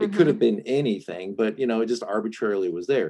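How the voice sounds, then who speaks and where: A man talks with a slight Southern US accent. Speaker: Enneagram and relationship coach. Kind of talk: casual interview, coaching session.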